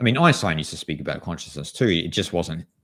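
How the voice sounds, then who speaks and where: This man speaks with an Australian accent. His pitch swings very widely. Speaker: spiritual author and channel host. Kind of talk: live stream Q&A chat. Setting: live stream. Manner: casual, halting.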